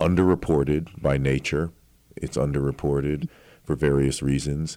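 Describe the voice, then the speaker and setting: A man's voice is very deep and low, with a dark, mellow tone. He speaks at a fairly slow pace. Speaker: radio host. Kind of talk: interview, friendly conversation.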